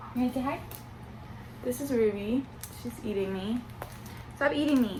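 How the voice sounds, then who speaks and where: At a moderate pace and with ordinary pitch variation, a woman speaks with long, frequent pauses over noticeable background noise. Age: 20s. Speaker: booktuber. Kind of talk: casual vlog chat.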